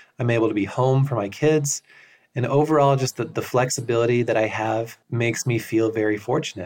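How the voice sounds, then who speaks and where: Against a quiet background, a man talks at a fairly quick pace with a medium pitch and fairly even intonation. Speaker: tax accountant and course creator. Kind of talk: interview-style testimony of success story.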